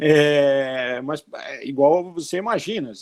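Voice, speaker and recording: The voice belongs to a man. It sits at a fairly high pitch. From Brazil, outside the Northeast. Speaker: bank chief economist. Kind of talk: interview Q&A, explanatory.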